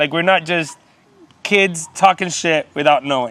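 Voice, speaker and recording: A man talks with ordinary pitch variation and a moderate pace, noticeable noise in the background. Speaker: zookeeper and podcast co-host. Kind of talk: casual chat. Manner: loud.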